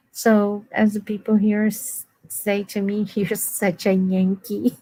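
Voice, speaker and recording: Speaking very slowly at a medium pitch, a woman keeps a monotone, flat intonation with a dark, mellow tone. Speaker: guest. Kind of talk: casual chat. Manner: halting.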